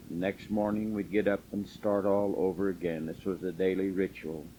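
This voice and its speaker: A man with an American accent speaks at a very slow pace in a fairly low pitch, his intonation fairly even. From southern Utah, US. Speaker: elderly man recording his life story. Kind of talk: oral history memoir. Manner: halting with fillers.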